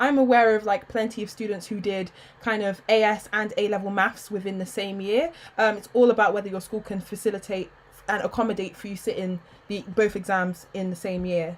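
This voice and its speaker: The speaker is a woman with a medium pitch. She talks fairly quickly. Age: 20s. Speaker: YouTuber and medical student. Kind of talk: live stream Q&A. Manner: animated.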